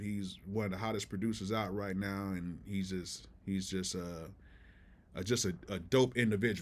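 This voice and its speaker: This man has a fairly low pitch. His intonation stays fairly even. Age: 40s. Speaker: music producer, live streamer; live streamer. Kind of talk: live stream chat. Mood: relaxed, appreciative. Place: home room.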